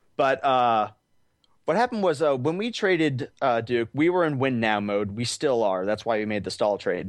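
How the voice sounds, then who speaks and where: A man with an unremarkable speaking voice talks in an American accent at a moderate pace and medium pitch. His intonation is lively, and the background is quiet. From Arizona. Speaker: hockey fan. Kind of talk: casual chat.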